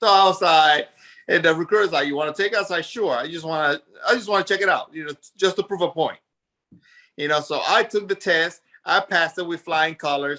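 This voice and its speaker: A man with a high pitch talks at a fairly quick pace, his tone bright, sharp and animated. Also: ordinary pitch variation. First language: Spanish. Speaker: army veteran and business owner. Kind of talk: interview.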